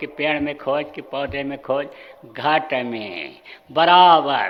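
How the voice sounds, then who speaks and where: A man talks with ordinary pitch variation, with audible room echo and noticeable background noise in the recording. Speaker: spiritual guru. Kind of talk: sermon. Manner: stern, forceful; repetitive, emphatic.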